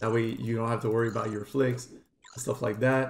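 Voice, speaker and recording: A man with a Quebec accent at a very fast pace. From Quebec, Montreal. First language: French. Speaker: gaming streamer. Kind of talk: tutorial. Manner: casual, fast gameplay commentary.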